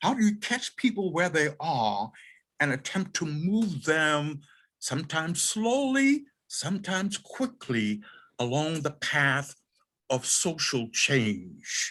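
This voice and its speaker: In an American accent, a man with a fairly high pitch and a bright, sharp tone speaks at a very slow pace with very wide pitch swings. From US South, Charleston, South Carolina. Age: 80s+. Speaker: sociology professor. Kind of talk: panel discussion.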